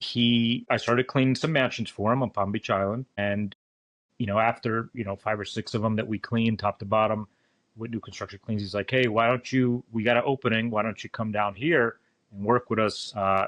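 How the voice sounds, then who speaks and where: A man with a normal speaking voice talks fairly quickly at a medium pitch with fairly even intonation, the sound dry and close with no echo over a quiet background. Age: 30s. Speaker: contractor. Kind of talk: casual interview.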